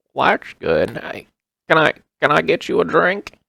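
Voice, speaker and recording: A man does a put-on character voice at a moderate pace. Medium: actual play. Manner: friendly, hesitant.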